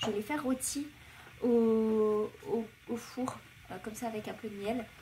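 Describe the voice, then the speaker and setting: Noticeable background noise sits behind a woman's voice. She speaks fairly slowly at a fairly high pitch. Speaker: vlogger. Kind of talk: casual vlog. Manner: hesitant, many fillers.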